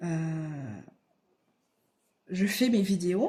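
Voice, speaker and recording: A woman's very slow, somewhat breathy delivery. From southern France, Aveyron (Rodez). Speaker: crafts YouTuber. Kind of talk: casual vlog answering questions. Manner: hesitant, many fillers and repetitions.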